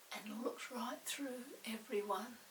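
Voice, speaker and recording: Noticeable background noise sits behind a woman's high-pitched voice. Her pitch varies in an ordinary way. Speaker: storybook read-aloud narrator. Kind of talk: children's storybook reading.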